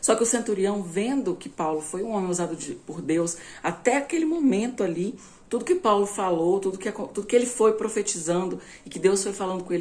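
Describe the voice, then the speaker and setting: At a fairly quick pace, a woman talks in a normal speaking voice. Her pitch is medium, with ordinary pitch variation. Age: 20s. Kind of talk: informal bible teaching.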